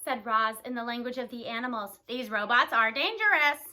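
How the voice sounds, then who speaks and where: A woman puts on a character voice, high-pitched, at a moderate pace. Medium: read story.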